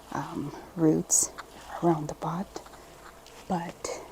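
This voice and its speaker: A woman talks very slowly, and noticeable background noise is present. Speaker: plant video creator. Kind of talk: casual tutorial vlog. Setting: at home.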